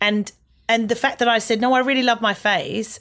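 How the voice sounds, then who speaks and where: Recorded very cleanly with a silent background, a woman with an Australian accent talks at a fairly quick pace in a fairly high pitch. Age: 40s. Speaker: comedian. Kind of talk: casual chat.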